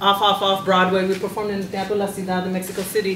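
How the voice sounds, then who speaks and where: A woman's voice comes through with audible room echo and light background noise. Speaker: panelist. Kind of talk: panel discussion answer. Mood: warm, reflective. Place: meeting room. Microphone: handheld.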